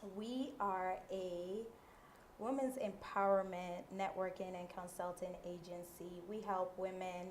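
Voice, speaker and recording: In a room with audible echo, a woman with an American accent speaks very slowly at a medium pitch with fairly even intonation. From US Virgin Islands, St. Croix. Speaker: women's empowerment entrepreneur. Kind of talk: interview.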